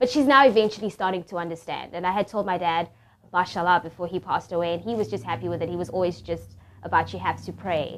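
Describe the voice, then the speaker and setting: Talking at a very fast pace, a woman shows lively intonation and vocal fry. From South Africa. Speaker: convert giving testimony. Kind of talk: testimony. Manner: casual, hesitant with fillers.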